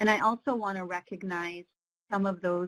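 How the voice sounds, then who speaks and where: Heard in a dry, close sound with no echo, a plain, everyday voice moves at a moderate pace with fairly even intonation. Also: woman. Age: 50s. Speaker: webinar co-facilitator. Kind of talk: webinar presentation. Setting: online webinar.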